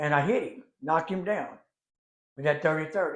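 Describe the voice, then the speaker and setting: Someone with a Louisiana accent talks at a moderate pace, their pitch varying in an ordinary way. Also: man. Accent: Louisiana Southern US. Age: 80s+. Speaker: storyteller. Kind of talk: storytelling. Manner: conversational, folksy.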